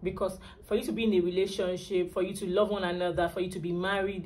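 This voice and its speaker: A woman's voice comes through somewhat breathy. Room echo is audible. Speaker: lifestyle and relationship vlogger. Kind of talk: vlog advice talk.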